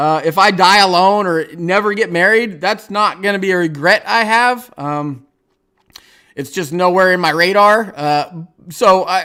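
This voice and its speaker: The voice is raised and projected, with a bright, sharp tone. It moves at a fairly slow pace with ordinary pitch variation. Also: man, high pitch for a man. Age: 40s. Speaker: YouTuber streaming a livestream. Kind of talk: casual livestream chat. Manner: halting, many fillers.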